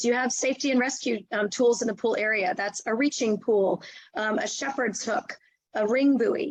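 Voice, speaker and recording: This woman's voice sits high in pitch. Her pitch varies in an ordinary way. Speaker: nonprofit executive director. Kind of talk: webinar presentation. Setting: video call. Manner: fast.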